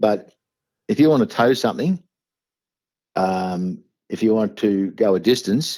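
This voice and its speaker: A man with an Australian accent and a dark, mellow tone speaks at a medium pitch and a fairly slow pace, using lively intonation and long, frequent pauses. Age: 60s. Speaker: small business owner. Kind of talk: interview answer.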